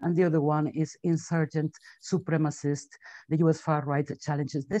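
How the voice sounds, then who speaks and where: A dark, mellow tone with a dry, close sound and no echo. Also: woman. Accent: Spanish. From Spain. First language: Spanish. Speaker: webinar moderator. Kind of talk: webinar introduction. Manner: halting.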